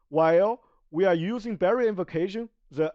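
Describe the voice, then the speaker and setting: A non-native accent at a moderate pace over a quiet background. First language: Chinese. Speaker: video game streamer. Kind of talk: tutorial. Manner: halting, many self-corrections.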